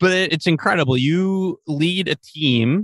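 The sound is dry and close, with no echo. A man does the talking. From Long Island, New York. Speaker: podcast host. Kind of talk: interview.

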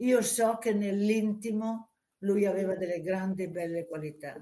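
A woman speaks at a moderate pace in a medium pitch, with ordinary pitch variation and a dark, mellow tone. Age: 80s+. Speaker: former dancer, book subject. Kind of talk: interview.

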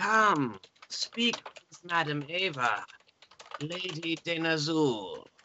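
A put-on character voice cackles at a middle pitch. The act comes across clearly. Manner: cackling, mysterious.

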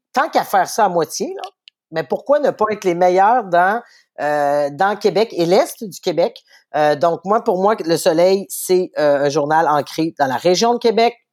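Very slow speech from a woman with a Quebec accent and lively intonation. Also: medium pitch for a woman. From Quebec City, Quebec. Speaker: newspaper editor-in-chief. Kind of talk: interview.

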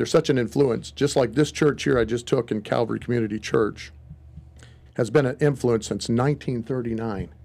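An American accent marks this man's fairly quick speech, delivered at a medium pitch with ordinary pitch variation and vocal fry. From Wisconsin. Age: 50s. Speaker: pastor. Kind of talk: casual chat.

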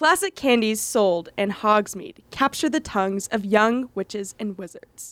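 The woman uses a normal speaking voice with a fairly high pitch at a fairly slow pace. The sound is dry and close, with no echo. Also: lively intonation, very clean recording, silent background. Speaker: college radio host. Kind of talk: interview. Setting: studio.

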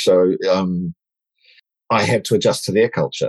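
A man with a New Zealand accent is heard in a dry, close sound with no echo. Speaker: diversity and inclusion advocate. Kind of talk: interview.

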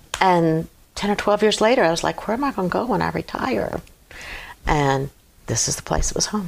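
With an American accent, a woman talks at a fairly quick pace in a fairly low pitch with vocal fry, very wide pitch swings, and long, frequent pauses. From Virginia, US (Hampton). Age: 70s. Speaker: Gold Star widow. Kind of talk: casual interview. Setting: studio.

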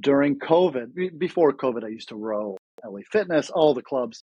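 Delivered at a fairly slow pace with lively intonation, this is an unremarkable speaking voice. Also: man. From Ukraine, then Toronto, Canada. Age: 30s. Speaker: former pro tennis player, real estate agent. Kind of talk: casual interview chat.

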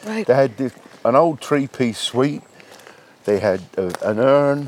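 Against noticeable background noise, a man with a warm tone speaks at a medium pitch and fairly slow pace, his pitch swinging very widely. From London, England. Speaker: men's shed member. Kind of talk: casual interview chat. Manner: warm, chatty, happy.

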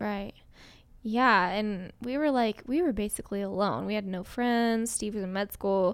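With an unremarkable speaking voice, a woman talks fairly slowly at a fairly high pitch with ordinary pitch variation on a very clean recording with a silent background. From Colorado. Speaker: podcast co-host, fitness business owner. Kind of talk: casual chat.

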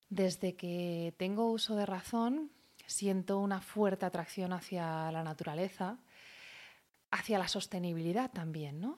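On a very clean recording with a silent background, a woman speaks fairly slowly at a medium pitch with ordinary pitch variation. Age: 30s. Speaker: podcaster on natural cosmetics. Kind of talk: casual monologue. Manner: animated, with fillers and repetitions.

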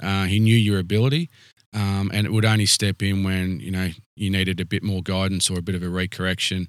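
With an Australian accent, a man talks very fast in a very deep, low voice. Intonation stays fairly even, and the recording is very clean with a silent background. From Canberra, Australia. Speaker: rural fire service chief officer. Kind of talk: interview. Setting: fire station on location.

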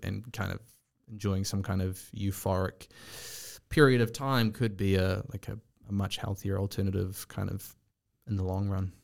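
On a very clean recording with a silent background, a man with an unremarkable speaking voice and a fairly low pitch talks at a moderate pace. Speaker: podcast host. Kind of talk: casual chat.

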